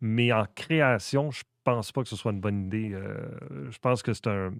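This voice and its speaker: Speaking at a fairly slow pace in a Quebec accent, a man with a fairly low pitch and ordinary pitch variation shows big swings in loudness, in a dry, close sound with no echo on a very clean recording with a silent background. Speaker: comedian and content creator. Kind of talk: casual interview chat.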